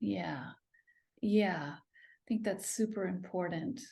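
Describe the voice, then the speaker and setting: Vocal fry runs through this woman's very slow speech. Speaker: podcast host. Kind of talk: interview conversation.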